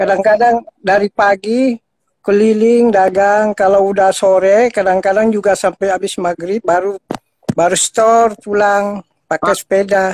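A man's high-pitched, monotone voice with flat intonation at a moderate pace, in a dry sound with no echo. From Jakarta; Indonesia. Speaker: ice cream street vendor; caller. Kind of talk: call-in appeal. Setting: video call. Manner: halting. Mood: humble, modest. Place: home room. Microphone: video call.

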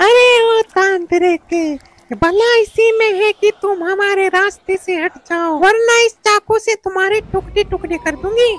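A female-sounding voice is put on as a character, extremely high in pitch. It goes at a fairly slow pace with hardly any pauses. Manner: threatening.

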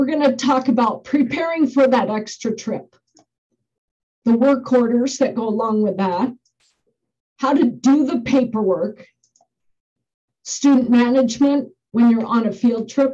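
A woman's high-pitched, dark and mellow voice, fairly slow with long, frequent pauses, ordinary pitch variation and a quiet background. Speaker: school bus driver trainer. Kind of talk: lecture. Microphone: webcam.

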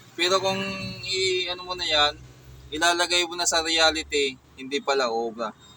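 A man with a high pitch, against noticeable background noise. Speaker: DIY electronics YouTuber. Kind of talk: tutorial. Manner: slightly slurred speech; casual, hesitant.

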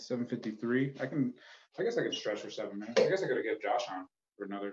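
Over loud background noise, a man with an American accent talks at a very fast pace. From Phoenix, Arizona; Arizona. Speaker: comedian and open mic host; open mic comedian. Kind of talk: casual hosting banter. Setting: video call. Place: home room.

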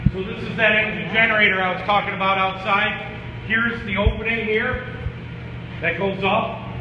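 Noticeable background noise and audible echo from the room around a man's voice. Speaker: tour guide at the facility. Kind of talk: guided tour explanation. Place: factory. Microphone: camera far.

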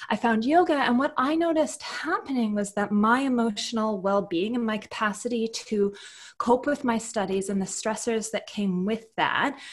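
Against a quiet background, somewhat breathy speech moves at a moderate pace with ordinary pitch variation. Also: woman. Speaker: podcast guest. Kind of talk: interview answer. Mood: warm, cheerful. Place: home room. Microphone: earbuds.

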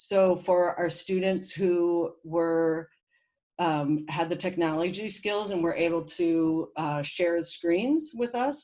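The tone is dark and mellow, with ordinary pitch variation and a very slow pace. The recording is very clean, with a silent background. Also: woman, fairly low pitch for a woman. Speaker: teacher. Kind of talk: presentation.

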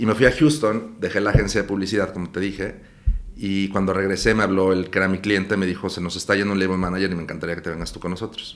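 At a very fast pace, a man speaks in a very deep, low pitch with fairly even intonation. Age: 50s. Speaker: talent manager; guest. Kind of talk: casual interview. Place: studio.

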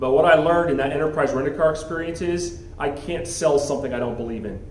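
A man with an American accent talks very fast, his pitch fairly high and his pitch variation ordinary. There is audible room echo and light background noise. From US South, Miami, Florida; Florida. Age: 40s. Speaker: school head; guest. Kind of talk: motivational talk. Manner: halting. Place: meeting room. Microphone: handheld.

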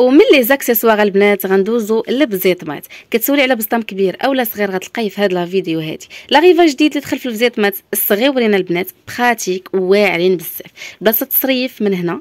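Over a quiet background with dry sound and no echo, a woman with a Moroccan accent speaks at a fairly quick pace and fairly high pitch, with an animated tone and lively intonation. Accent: Moroccan Darija with French loanwords. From Morocco. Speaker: shop owner presenting products; shop seller showing products. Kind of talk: product showcase sales pitch. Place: shop. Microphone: phone near.

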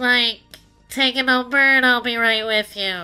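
Putting on a character voice, a woman talks in a high, nasal tone with fairly even intonation as faint music plays behind her. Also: moderate pace. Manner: bored.

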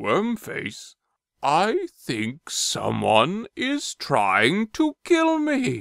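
A man speaks at a very slow pace. The sound is dry and close with no echo, on a very clean recording with a silent background. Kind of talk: comic overacting. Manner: blustering, jolly then paranoid.

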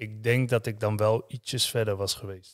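The speaking pace is moderate, and the background stays quiet. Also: man. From Netherlands, Utrecht area (Houten); Netherlands. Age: 30s. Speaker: former professional footballer; podcast guest. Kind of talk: interview testimony. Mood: calm, reflective, sometimes heavy. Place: studio. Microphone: studio mic.

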